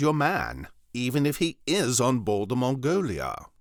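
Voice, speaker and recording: In a very clean recording with a silent background, a man of medium pitch shows vocal fry and very wide pitch swings. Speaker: voice actor. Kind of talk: audiobook narration.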